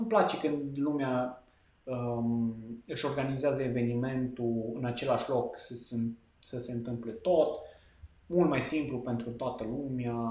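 A man speaks at a fairly slow pace with fairly even intonation and long, frequent pauses. The room echo is audible. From western Romania, Lipova near Arad. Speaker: wedding videographer. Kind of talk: casual interview chat.

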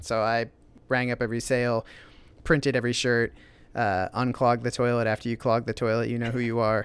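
A man with an American accent talks at a fairly quick pace in a flat monotone. The recording is very clean, with a silent background. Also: medium pitch for a man. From Iowa, US Midwest (small town near Des Moines). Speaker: store owner and designer. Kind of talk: casual interview chat. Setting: in his store.

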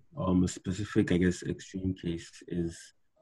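Dark, mellow tone, fairly slow pace. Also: man. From Nigeria, Calabar. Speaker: engineering student. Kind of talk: interview.

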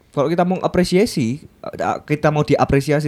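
A man's plain, everyday voice sits fairly high and shows ordinary pitch variation. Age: 20s. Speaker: designer. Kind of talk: casual chat. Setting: studio.

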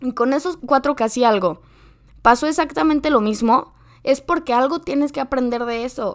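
With ordinary pitch variation and a high pitch, a woman talks at a moderate pace on a very clean recording with a silent background. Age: 20s. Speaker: podcast host. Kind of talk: casual chat.

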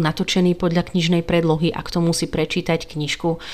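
A woman speaks at a moderate pace with a Hungarian accent. Her pitch is medium. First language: Hungarian (speaking Slovak). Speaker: book podcaster. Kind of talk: solo podcast talk. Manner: casual, hesitant fillers.

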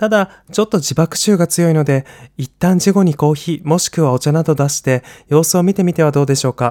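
A man's voice with a dark, mellow tone, pitched fairly high for a man, with ordinary pitch variation. He talks at a fairly quick pace, and the sound is dry and close with no echo. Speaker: podcast panelist. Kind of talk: reading prepared answer. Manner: bright, cheerful.

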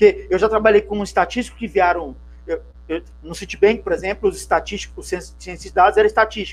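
Against music in the background, a man speaks at a fairly quick pace with big swings in loudness. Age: 50s. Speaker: CRM consultant and interview host. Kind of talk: interview.

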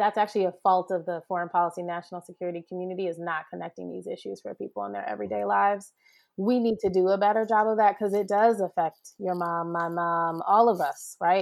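With hardly any pauses, a woman of medium pitch speaks at a very fast pace and fairly even intonation in a very clean recording with a silent background. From US, Jamaican immigrant family. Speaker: attorney, national security expert. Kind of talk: podcast interview.

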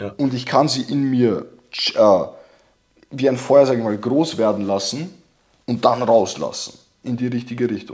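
At a medium pitch, a man speaks with ordinary pitch variation and long, frequent pauses. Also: moderate pace. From immigrant background. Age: 20s. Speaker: testosterone course seller. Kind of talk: casual chat.

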